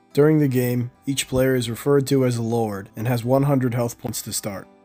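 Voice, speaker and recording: With music playing in the background, a man speaks at a moderate pace in a medium-pitched voice with fairly even intonation. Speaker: game designer. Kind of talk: game rules tutorial narration.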